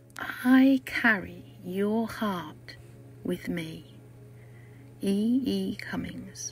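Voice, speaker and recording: A woman speaks very slowly with long, frequent pauses, with noticeable background noise behind her. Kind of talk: poetry reading.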